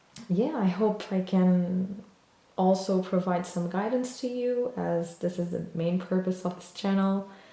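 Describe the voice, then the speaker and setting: Over noticeable background noise, a woman with a medium pitch talks at a very slow pace. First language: not English. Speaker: tarot reader. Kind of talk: tarot reading video. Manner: hesitant, many fillers.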